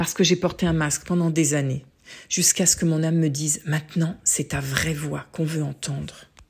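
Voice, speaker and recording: A woman speaks at a moderate pace in a very deep, low pitch. Her voice is somewhat breathy, and her intonation is monotone and flat. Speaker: former opera singer, voice coach. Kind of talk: personal testimonial narration.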